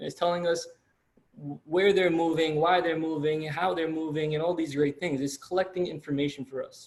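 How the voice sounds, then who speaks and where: In a monotone, flat delivery, a man talks fairly quickly at a fairly high pitch. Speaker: college lecturer. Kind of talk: lecture. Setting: video call. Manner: fast.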